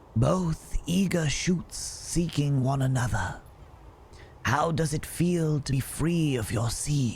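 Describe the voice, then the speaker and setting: A man's fairly high, put-on character voice at a fairly slow pace, with hissing and clear background noise. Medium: game stream. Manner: calm, unhurried.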